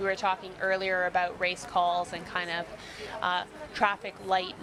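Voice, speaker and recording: A woman with a Canadian accent speaks at a fairly slow pace in a medium pitch with monotone, flat intonation, over noticeable background noise. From Canada. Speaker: rowing commentator, Olympic rower. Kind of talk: live sports commentary.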